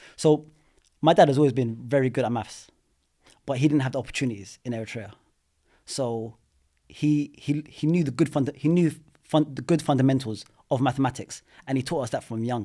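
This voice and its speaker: A man's medium-pitched voice with a dark, mellow tone and ordinary pitch variation, at a fairly quick pace broken by long, frequent pauses, in a very clean recording with a silent background. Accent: London. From London. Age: 30s. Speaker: property investor. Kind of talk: podcast interview. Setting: studio. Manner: animated.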